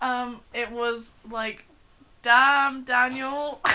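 Over noticeable background noise, a woman with a South London accent speaks in a raised, projected voice at a high pitch. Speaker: podcast co-host. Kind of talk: casual chat.

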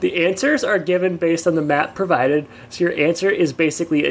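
Rather brisk delivery in a normal speaking voice, the pitch rising and falling in an ordinary way. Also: man. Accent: American. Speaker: podcast co-host. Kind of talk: casual chat, podcast banter and episode recap. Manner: joking, laughs often, chatty.

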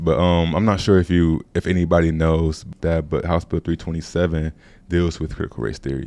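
Against a quiet background, a man's very deep, low voice carries a dark, mellow tone and fairly even intonation. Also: fairly quick pace. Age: 20s. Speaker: university student researcher and documentary narrator. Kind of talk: casual interview chat.

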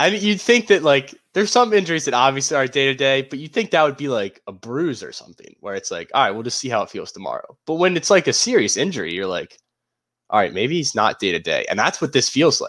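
In a very clean recording with a silent background, a man with a fairly high pitch talks at a very fast pace, his voice showing vocal fry and very wide pitch swings. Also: big swings in loudness. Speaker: podcast co-host. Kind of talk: casual chat.

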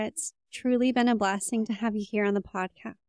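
This woman talks at a fairly quick pace in an unremarkable speaking voice. Her pitch is fairly high, with ordinary variation. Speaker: podcast host. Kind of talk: podcast interview conversation.

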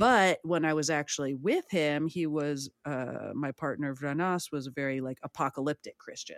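Speaking with a Californian accent, a woman has a very deep, low pitch, ordinary pitch variation, a moderate pace and hardly any pauses, in a dry, close sound with no echo. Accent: Californian American. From San Francisco, US West Coast. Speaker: life coach. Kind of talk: casual chat.

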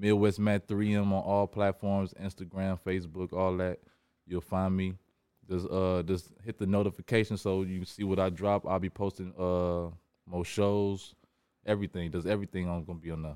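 A man speaks in a very deep, low pitch with a dark, mellow tone. His intonation is monotone and flat, at a moderate pace. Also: dry, close sound with no echo, very clean recording, silent background. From Indiana, East Chicago area. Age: 30s. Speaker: rapper. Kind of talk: casual chat.

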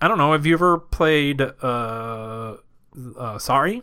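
On a very clean recording with a silent background, a man with a bright, sharp tone talks at a moderate pace with ordinary pitch variation. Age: 30s. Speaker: podcast co-host. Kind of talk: casual chat.

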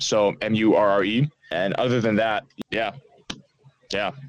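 Fairly even intonation in an American accent. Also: man. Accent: American-sounding English. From Netherlands, Amsterdam. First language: Dutch. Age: 20s. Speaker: author. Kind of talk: casual interview. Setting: remote call.

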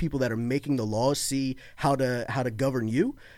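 A man with an unremarkable speaking voice, medium pitch and a moderate pace, in a very clean recording with a silent background. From Florida (born in Baltimore). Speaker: political guest, conservative podcaster. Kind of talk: casual political conversation.

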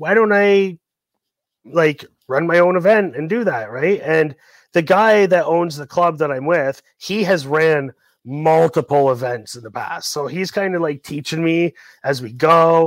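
In a very clean recording with a silent background, a man speaks at a fairly slow pace and fairly high pitch in a plain, everyday voice with ordinary pitch variation. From Ontario, Canada. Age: 40s. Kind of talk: casual interview chat.

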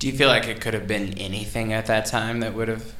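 A man with a fairly low voice talks at a fairly quick pace over noticeable background noise. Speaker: podcast host. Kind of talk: casual interview conversation. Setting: home, indoor with microphones.

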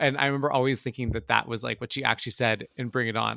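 Very fast-paced man with a bright, sharp tone and fairly even intonation, in a dry, close sound with no echo. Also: very clean recording, silent background. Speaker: movie review podcast co-host. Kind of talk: casual chat.

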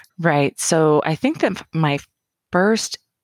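Speaking very slowly with lively intonation, a woman with an American accent keeps a fairly low pitch. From rural Oregon (Roseburg). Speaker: cancer caregiver. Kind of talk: casual chat.

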